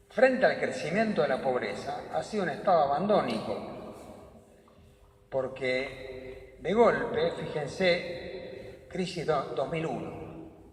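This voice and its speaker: Over noticeable background noise, a man with a high pitch speaks at a very slow pace, his voice making very wide pitch swings. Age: 80s+. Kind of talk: talk to a parish audience. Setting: parish hall with audience.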